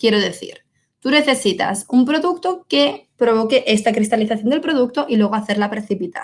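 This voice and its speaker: Lively intonation rides on a moderate pace. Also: woman. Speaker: wine technical support specialist. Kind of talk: webinar Q&A. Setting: online webinar.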